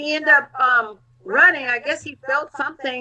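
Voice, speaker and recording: Against noticeable background noise, a woman with a high pitch projects a raised voice at a moderate pace, her pitch varying in an ordinary way. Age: 60s. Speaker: health advocate. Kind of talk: casual chat.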